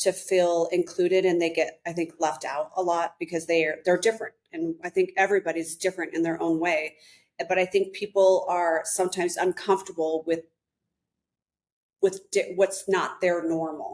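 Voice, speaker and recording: A woman speaks at a moderate pace in a fairly low pitch, her intonation monotone and flat. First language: American Sign Language. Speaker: realtor and author. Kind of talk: podcast interview.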